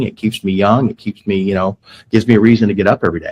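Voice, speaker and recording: A man with an American accent speaks at a very fast pace in an animated tone. The sound is dry and close with no echo. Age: 60s. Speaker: criminal defense attorney. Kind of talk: interview. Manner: animated, repetitive false starts.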